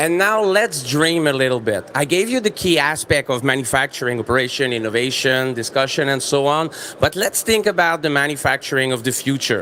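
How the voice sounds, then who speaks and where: With hardly any pauses and very even loudness, a man talks fairly quickly at a fairly high pitch with lively intonation against noticeable background noise. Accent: Quebec. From Quebec. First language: French. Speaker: business presenter. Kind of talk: trade fair presentation.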